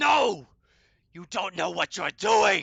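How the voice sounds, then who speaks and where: Someone shouts in a raspy, put-on character voice. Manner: horrified, screaming.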